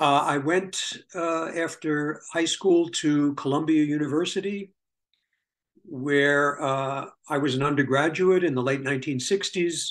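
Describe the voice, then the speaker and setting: The speaker is a man with a New York accent. His pitch is fairly high. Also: fairly even intonation, fairly slow pace. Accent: New York American. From US Northeast, New York City (Bronx). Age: 70s. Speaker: historian. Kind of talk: interview, life story. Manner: halting, many fillers.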